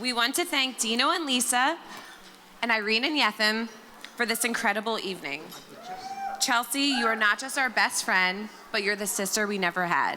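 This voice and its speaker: A woman with an American accent, fairly high in pitch, with lively intonation, a moderate pace, long and frequent pauses, and noticeable background noise. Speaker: maid of honor. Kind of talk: wedding toast. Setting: wedding reception with microphone. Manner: loud.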